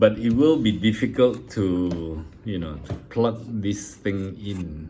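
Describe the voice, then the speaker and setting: The voice has a dark, mellow tone and is somewhat breathy. It moves at a very slow pace with ordinary pitch variation. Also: man, fairly low pitch for a man, big swings in loudness. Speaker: scale model builder. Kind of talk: casual tutorial / build update. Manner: halting, many fillers.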